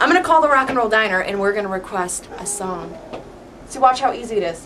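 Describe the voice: At a fairly quick pace, a woman with a medium pitch and fairly bright tone speaks with lively intonation over faint background noise.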